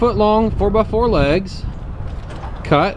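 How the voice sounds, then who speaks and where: Someone with a Virginia accent speaks at a very slow pace, amid noticeable background noise and audible room echo. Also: man. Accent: Southern US (Virginia). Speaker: farmer. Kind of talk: tutorial. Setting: outdoors. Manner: loud.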